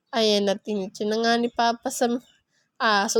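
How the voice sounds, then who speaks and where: A woman with a Bisaya accent, animated in tone, at a moderate pace. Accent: Bisaya-tinged Tagalog. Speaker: vlogger. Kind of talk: casual vlog narration. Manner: chatty, animated.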